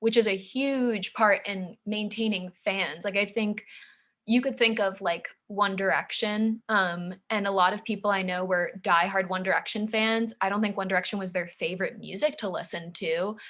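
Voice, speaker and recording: Here a woman speaks at medium pitch. Her intonation stays fairly even. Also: very clean recording, silent background. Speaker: student presenter. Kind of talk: student presentation. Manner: fast; casual, many fillers.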